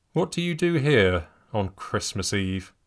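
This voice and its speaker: Using a put-on character voice, a man talks at a fairly slow pace with very wide pitch swings. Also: medium pitch for a man. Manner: stern, accusing.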